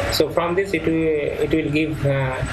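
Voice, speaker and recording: Loud background noise surrounds this voice. It belongs to a man with an Indian accent. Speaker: professor. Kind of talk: lecture. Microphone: webcam.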